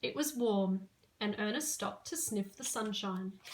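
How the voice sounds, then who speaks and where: With an Australian accent, a woman talks at a moderate pace in a fairly high, somewhat breathy voice. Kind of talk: children's story reading.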